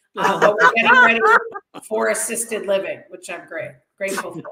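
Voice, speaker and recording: A woman with a Boston accent speaks at medium pitch. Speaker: stand-up comedian. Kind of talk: stand-up.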